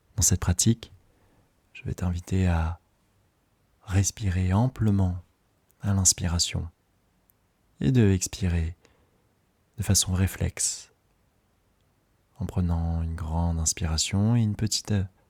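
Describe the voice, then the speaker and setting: Speaking very slowly with long, frequent pauses, a soft-spoken man with a very deep, low pitch sounds somewhat breathy, his intonation fairly even and the sound dry and close with no echo. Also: very clean recording, silent background. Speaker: breathwork facilitator. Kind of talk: guided meditation.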